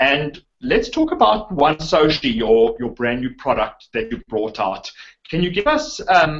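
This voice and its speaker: Here is a man talking. He speaks with a South African accent. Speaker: online marketer, interviewer. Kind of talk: interview.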